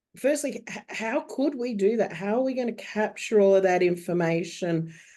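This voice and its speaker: With a quiet background, a woman talks at a moderate pace in a fairly high pitch, her tone dark and mellow and her intonation lively. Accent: Australian. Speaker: bookkeeper. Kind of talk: webinar panel discussion.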